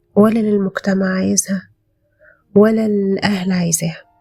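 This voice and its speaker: A soft-spoken woman in a calm tone with an Egyptian accent, music playing in the background. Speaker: podcast host. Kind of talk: self-help podcast monologue. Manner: calm, soft-spoken; hesitant, with fillers.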